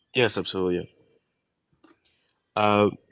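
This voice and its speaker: A man's fairly low-pitched voice with fairly even intonation, in a dry, close sound with no echo. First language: not English. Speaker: caller. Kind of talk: question to advice host.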